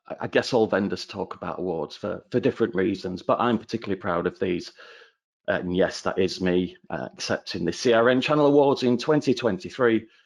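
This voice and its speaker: A man speaks with a northern English accent. His intonation is lively. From northern England. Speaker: channel account manager. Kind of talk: webinar presentation.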